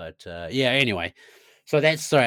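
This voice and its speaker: In a New Zealand accent, a man speaks with a bright, sharp tone on a very clean recording with a silent background. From New Zealand, Nelson. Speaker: bow hunting guide and content creator. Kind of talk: casual chat.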